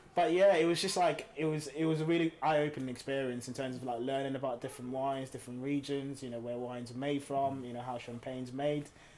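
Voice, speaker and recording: Keeping his intonation fairly even, a man speaks at a very fast pace. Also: fairly high pitch for a man, hardly any pauses. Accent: British. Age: young. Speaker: podcast co-host. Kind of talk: casual chat.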